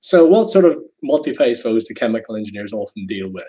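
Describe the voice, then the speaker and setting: This voice has a Northern Irish accent and a dark, mellow tone. It moves at a fairly quick pace with lively intonation. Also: man. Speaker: chemical engineering professor. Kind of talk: lecture. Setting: video call.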